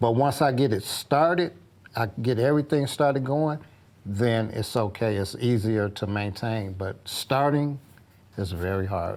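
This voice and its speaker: With lively intonation and an unremarkable speaking voice, a man talks at a medium pitch and a fairly slow pace in a very clean recording with a silent background. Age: 60s. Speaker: groundskeeper and custodian. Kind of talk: interview.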